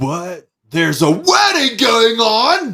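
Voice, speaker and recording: Putting on a character voice, a man talks at a very slow pace with an extremely high pitch and very wide pitch swings. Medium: actual play. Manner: suspicious, curt.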